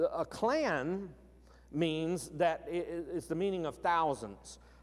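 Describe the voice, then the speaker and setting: The speaker has a Southern US accent. The pitch varies in an ordinary way. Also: man. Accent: Southern American. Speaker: pastor. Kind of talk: sermon. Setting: church service, live-streamed.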